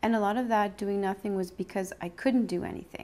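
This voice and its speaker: Recorded very cleanly with a silent background, a woman speaks in a dark, mellow tone with ordinary pitch variation. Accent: Canadian. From Sudbury, Ontario, Canada. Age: 40s. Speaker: cancer survivor. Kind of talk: interview testimony.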